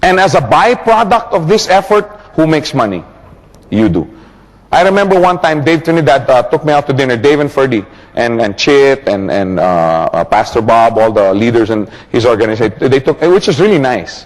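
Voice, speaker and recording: In an animated tone, a man with a fairly high pitch talks at a fairly quick pace, his pitch swinging very widely while his loudness stays very even. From Philippines. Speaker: network marketing trainer. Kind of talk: training seminar.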